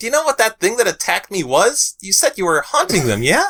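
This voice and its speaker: A man's put-on character voice, high in pitch and at a very fast pace. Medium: read story. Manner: casual, slangy.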